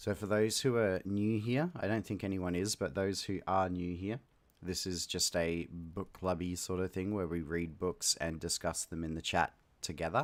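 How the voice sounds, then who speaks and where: A man's very deep, low voice with an Australian accent, ordinary pitch variation and a moderate pace, on a very clean recording with a silent background. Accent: mild Australian. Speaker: livestream host reading books aloud. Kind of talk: casual livestream chat. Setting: live stream with chat. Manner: hesitant, many fillers.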